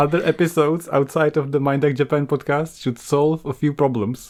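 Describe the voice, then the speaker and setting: A man talks at a moderate pace in a fairly high pitch with fairly even intonation. It is a plain, everyday voice. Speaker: podcast host. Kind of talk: casual chat.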